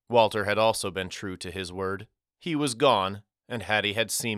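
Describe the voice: Against quiet surroundings, the clip is plain reading aloud.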